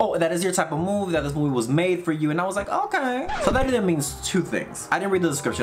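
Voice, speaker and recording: This man talks very fast in a high pitch. Noticeable background noise runs behind him. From Dominican heritage. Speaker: YouTube movie reactor. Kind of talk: movie reaction commentary. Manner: animated. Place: home room.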